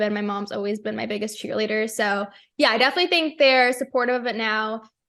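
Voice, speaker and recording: This woman has a plain, everyday voice and an American accent, pitched fairly high with fairly even intonation. The background is quiet. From United States. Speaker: professional race car driver. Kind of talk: radio interview answer. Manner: casual, conversational.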